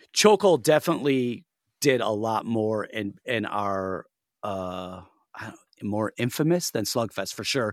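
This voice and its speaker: Speaking with a Western New York accent, a man uses lively intonation at a fairly slow pace, his loudness swinging widely in a very clean recording with a silent background. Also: medium pitch for a man, dry, close sound with no echo. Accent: Western New York American. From US Northeast, Buffalo NY. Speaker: hardcore band vocalist. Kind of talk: casual interview.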